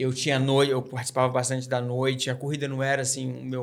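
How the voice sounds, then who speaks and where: A man speaks with a slight Minas Gerais accent and monotone, flat intonation. Noticeable background noise is present. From Minas Gerais, Brazil (Barbacena). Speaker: trail runner. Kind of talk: podcast interview.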